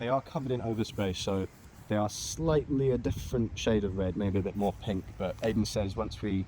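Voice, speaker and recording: A man with a British accent speaks at a fairly quick pace with a fairly low pitch. His dark, mellow tone carries some vocal fry. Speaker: car hobbyist vlogger. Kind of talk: casual vlog walkthrough.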